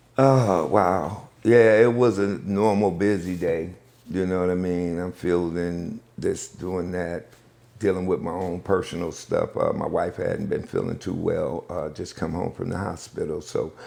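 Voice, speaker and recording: Speaking with an American accent, a man uses a very deep, low pitch at a fairly slow pace with ordinary pitch variation. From US Northeast, Buffalo, New York. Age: 60s. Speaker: pastor and community liaison. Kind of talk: interview.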